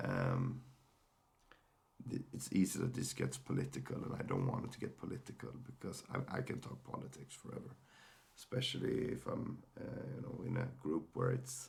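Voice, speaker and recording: A man's medium-pitched voice at a moderate pace, ordinary pitch variation, with noticeable background noise. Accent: Swedish. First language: Swedish. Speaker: mental health podcaster. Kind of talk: personal sharing monologue. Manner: halting, many fillers and repeated words.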